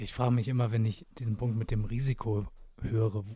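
Fairly quick, monotone speech from a man with a fairly low, dark, mellow, somewhat breathy voice on a very clean recording with a silent background. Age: 20s. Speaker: podcast host. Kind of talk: casual interview.

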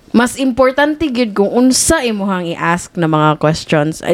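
With lively intonation, a woman speaks at a fairly slow pace in a plain, everyday voice. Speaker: podcast co-host. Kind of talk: casual chat.

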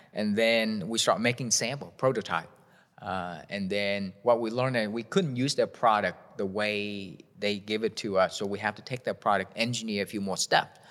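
A man with a Vietnamese accent and a fairly low voice, at a moderate pace with fairly even intonation. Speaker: shoe company founder. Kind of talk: interview. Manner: halting.

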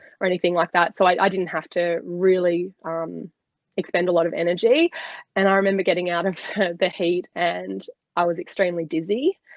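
In an Australian accent, a woman with a fairly low pitch speaks at a fairly quick pace with monotone, flat intonation. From Australia, Sydney. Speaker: former swimmer and dietitian. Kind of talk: casual chat.

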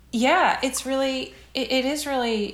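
A woman speaks over noticeable background noise. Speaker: TV writer and producer. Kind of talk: casual chat. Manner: halting.

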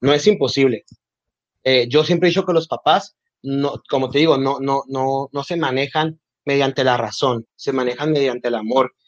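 A man speaks at a moderate pace in an ordinary speaking voice. His pitch is fairly high. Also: ordinary pitch variation. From Mexico, Nogales, Sonora. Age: 20s. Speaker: communications graduate, LGBTQ+ community member. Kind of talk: casual interview.

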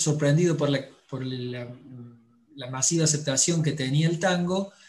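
A fairly high, somewhat breathy male voice with fairly even intonation amid audible room echo. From Córdoba, Argentina. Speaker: book publisher and tango teacher. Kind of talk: casual chat.

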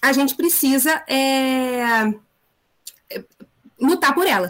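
Lively intonation in a woman's high-pitched voice. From Rio de Janeiro, Brazil. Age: 30s. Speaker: history teacher. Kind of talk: online discussion panel.

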